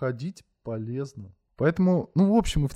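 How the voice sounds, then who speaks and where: A man's voice with a dark, mellow tone moves through very wide pitch swings. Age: 20s. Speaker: podcast host. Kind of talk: solo monologue. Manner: casual.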